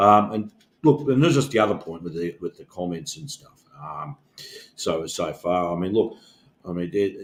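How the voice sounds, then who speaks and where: With an Australian accent, a man speaks at a moderate pace in a fairly low voice with lively intonation. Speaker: union organizer, podcast co-host. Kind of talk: casual discussion. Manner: halting, many fillers.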